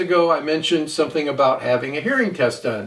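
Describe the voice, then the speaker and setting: A man with an unremarkable speaking voice talks with lively intonation at a fairly high pitch. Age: 60s. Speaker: audio equipment reviewer. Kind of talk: product review monologue. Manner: casual, with fillers.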